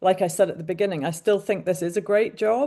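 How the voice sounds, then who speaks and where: A woman with a British accent speaks at a fairly quick pace against a quiet background. Her dark, mellow voice sits at medium pitch with ordinary pitch variation. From UK. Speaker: mental health coach, former journalist. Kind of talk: webinar panel discussion.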